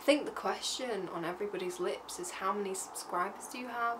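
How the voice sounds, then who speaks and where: A woman with an English accent, light background noise behind her. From England. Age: 20s. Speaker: vlogger. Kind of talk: casual talk to camera. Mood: playful, joking. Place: home room.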